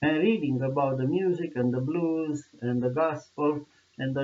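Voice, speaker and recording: In a Romanian accent, a man speaks at a fairly high pitch and a moderate pace with ordinary pitch variation. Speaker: video blogger. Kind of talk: monologue commentary. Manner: passionate; halting. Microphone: poor sound quality.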